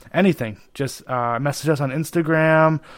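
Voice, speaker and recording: A man speaks with fairly even intonation. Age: 20s. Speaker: podcast co-host. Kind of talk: casual chat. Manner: halting.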